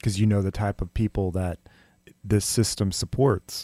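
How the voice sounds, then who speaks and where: A man talks at a moderate pace with a fairly low pitch and a dark, mellow tone, his intonation fairly even. The recording is very clean with a silent background and a dry, close sound with no echo. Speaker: podcast host. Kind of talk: interview. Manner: passionate.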